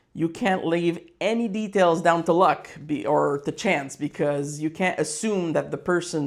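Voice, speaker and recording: A man with a French Canadian accent speaks at a moderate pace in a fairly high voice, recorded very cleanly against a silent background. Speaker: business owner, fightwear brand founder. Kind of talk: casual business vlog. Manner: halting, many fillers and repetitions.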